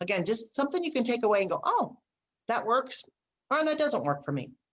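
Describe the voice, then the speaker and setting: Talking fairly quickly, a woman with a fairly high pitch swings very widely in pitch and slips into vocal fry. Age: 60s. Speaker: speaker and business coach. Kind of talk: casual interview chat.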